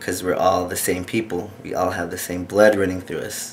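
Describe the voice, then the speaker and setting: There is noticeable background noise. A man with an American accent speaks in a very deep, low pitch with monotone, flat intonation. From Hopi Reservation, Arizona, US. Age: 30s. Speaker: interviewee. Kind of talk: interview.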